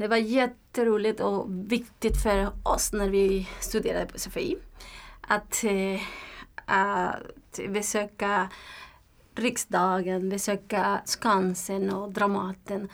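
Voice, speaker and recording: A woman with a Spanish accent talks at a very slow pace in a flat, monotone delivery, on a very clean recording with a silent background. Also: medium pitch for a woman. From Nicaragua. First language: Spanish (speaking Swedish). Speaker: language learner, community organization worker. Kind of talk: interview. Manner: halting, with hesitations and repetitions.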